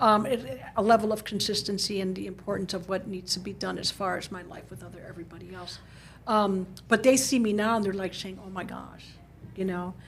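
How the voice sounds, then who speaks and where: A woman with an American accent speaks at a fairly quick pace in a medium pitch, with vocal fry. Her loudness swings widely while her intonation stays fairly even. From Chicago, US. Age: 60s. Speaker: market research analyst. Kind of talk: podcast interview. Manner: halting, with repetitions.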